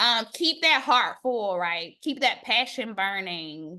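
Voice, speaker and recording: In a raised, projected voice with a slight Southern US accent, a woman sounds bright and sharp, her intonation lively and her tone animated, over a quiet background. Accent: slight Southern American. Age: 40s. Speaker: academic. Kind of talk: casual chat.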